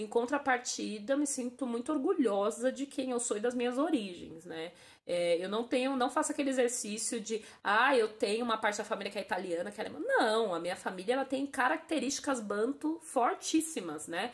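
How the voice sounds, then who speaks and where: Words come at a fairly quick pace with hardly any pauses. The intonation is lively. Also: woman, high pitch for a woman. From Brazil. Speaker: interviewee. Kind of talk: interview testimony.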